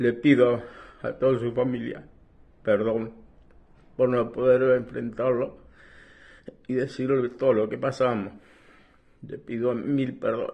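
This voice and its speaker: Against a quiet background, a man talks at a fairly slow pace in a monotone, flat intonation with long, frequent pauses. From Buenos Aires province, Argentina. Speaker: war veteran. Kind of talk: testimony. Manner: halting. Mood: grieving, remorseful. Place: home room. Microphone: phone near.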